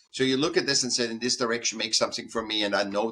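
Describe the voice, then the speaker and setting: A man speaks very fast at a medium pitch. His tone is bright and sharp. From Austria. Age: 60s. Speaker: artist. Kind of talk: interview. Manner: halting, many repetitions.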